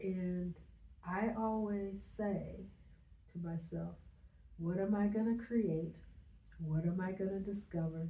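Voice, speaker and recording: A woman speaks fairly slowly at a medium pitch, her tone dark and mellow and somewhat breathy. Room echo is audible around her voice. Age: 70s. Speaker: business owner. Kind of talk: interview. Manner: halting.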